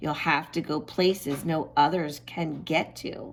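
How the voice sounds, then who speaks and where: In a put-on character voice, a woman speaks fairly slowly with a raspy, very deep, low pitch. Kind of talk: read-aloud storytime for children. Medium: read story. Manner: warm, encouraging.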